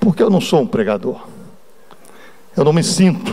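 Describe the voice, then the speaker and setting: Swinging very widely in pitch, a man's high voice carries his words. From Brazil, Espírito Santo (Cariacica). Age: 60s. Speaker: church elder / lay preacher. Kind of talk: sermon with personal testimony. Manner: conversational, informal.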